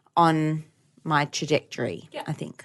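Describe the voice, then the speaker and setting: With an Australian accent, a woman talks at a very deep, low pitch over a quiet background. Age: 30s. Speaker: podcast co-host, educator. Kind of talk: casual chat.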